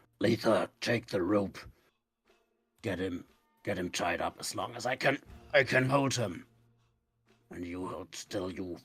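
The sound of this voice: In a put-on character voice, a man speaks raspy and fairly low at a moderate pace, leaving long, frequent pauses.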